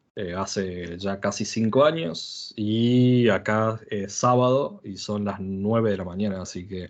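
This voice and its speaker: At a very slow pace and a fairly low pitch, a man speaks with hardly any pauses, ordinary pitch variation and big swings in loudness. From Argentina. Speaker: software developer, conference speaker. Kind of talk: technical talk. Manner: halting, many fillers.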